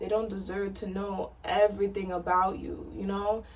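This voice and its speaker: A soft-spoken voice at a moderate pace. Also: woman. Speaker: lifestyle vlogger. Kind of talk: personal vlog monologue. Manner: casual, filler-heavy.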